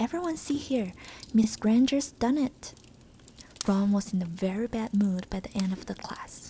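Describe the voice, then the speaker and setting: A soft-spoken woman with an American accent talks at a moderate pace in a gentle tone. Her fairly high pitch carries lively intonation. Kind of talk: ASMR book reading, soft spoken. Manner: soft-spoken, gentle.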